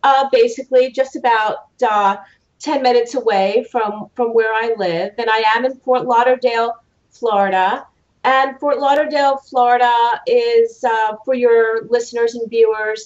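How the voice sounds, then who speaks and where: Fairly even intonation and a moderate tempo mark the woman's speech. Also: quiet background. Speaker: judge, remote guest. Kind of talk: interview answer. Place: home room. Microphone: video call.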